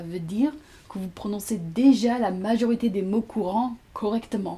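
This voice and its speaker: A woman speaks fairly slowly in a somewhat breathy voice with a dark, mellow tone. Her pitch sits fairly high, with ordinary variation. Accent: English. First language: English (speaking French). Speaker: language teacher. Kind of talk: tutorial.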